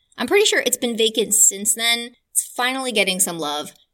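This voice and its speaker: A woman with a fairly high pitch and a bright, sharp tone speaks in an animated, warm tone at a moderate pace with lively intonation. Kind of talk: tour-guide style narration of local history, like a walking tour told as a podcast story. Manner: animated, warm and conversational, with a enthusiastic history-nerd storytelling tone.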